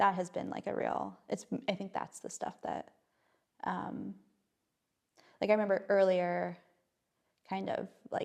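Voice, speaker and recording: The speaker talks at a fairly slow pace, leaving long, frequent pauses. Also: woman. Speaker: playwright. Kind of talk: interview. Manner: halting.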